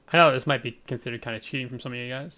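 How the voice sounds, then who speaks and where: A man speaks softly. His tone is bright and sharp. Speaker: gaming streamer. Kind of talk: live gameplay commentary. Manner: soft-spoken.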